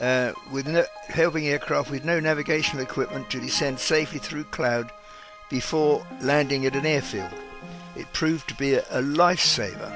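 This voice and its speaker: Music plays in the background as a man speaks at a moderate pace with ordinary pitch variation. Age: 80s+. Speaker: war veteran. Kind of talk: personal memoir narration.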